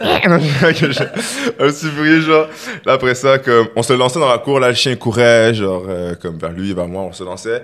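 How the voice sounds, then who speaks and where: Over noticeable background noise, a man speaks at a fairly slow pace in an animated tone with lively intonation. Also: medium pitch for a man. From Quebec, Longueuil (Montreal area). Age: 20s. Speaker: rapper. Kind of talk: casual chat.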